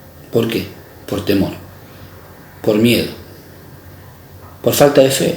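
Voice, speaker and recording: A man speaks at a very slow pace, with audible room echo and noticeable background noise. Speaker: preacher. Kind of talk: sermon. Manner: halting, many fillers.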